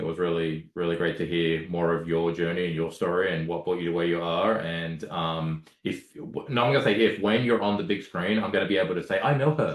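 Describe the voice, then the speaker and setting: In an Australian accent, a man with a very deep, low voice speaks at a fairly quick pace with lively intonation. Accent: Australian, noticed by others. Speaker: podcast host. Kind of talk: casual chat. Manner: hesitant, many fillers and repeats.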